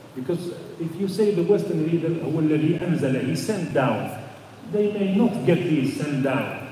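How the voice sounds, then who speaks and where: At a high pitch and a fairly slow pace, a man speaks with ordinary pitch variation, amid audible room echo and noticeable background noise. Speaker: Islamic studies teacher. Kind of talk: lecture. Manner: halting, with repetitions and fillers.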